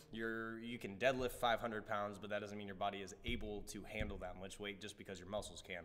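Using a plain, everyday voice, a man with an American accent speaks at medium pitch with fairly even intonation. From Nebraska, US Midwest. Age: 20s. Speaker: martial artist; interviewee. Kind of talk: interview. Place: studio.

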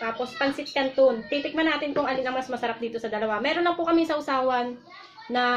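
Over light background noise, a woman speaks quickly with a high pitch and fairly even intonation. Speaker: mukbang vlogger. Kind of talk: casual vlog chat. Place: home room. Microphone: camera far.

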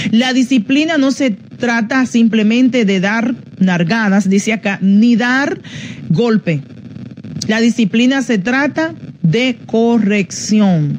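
Light background noise runs under the recording. A woman speaks at a very slow pace. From Dominican Republic. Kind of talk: teaching on parenting, broadcast live. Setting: radio and Facebook Live broadcast. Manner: informal, halting with fillers. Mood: calm, instructive. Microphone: phone near.

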